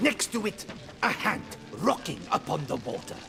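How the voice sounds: Over clear music in the background, a man does a high-pitched put-on character voice at a moderate pace, with big pitch swings and vocal fry.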